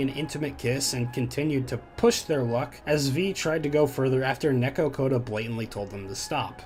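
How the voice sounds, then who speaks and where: Fairly quick speech from a man, with noticeable background noise throughout. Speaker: YouTube commentary creator. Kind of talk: scripted commentary narration.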